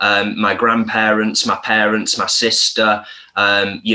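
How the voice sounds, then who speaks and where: Speaking at a fairly slow pace, a man talks in a Lancashire accent. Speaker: vegan content creator. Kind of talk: casual interview chat.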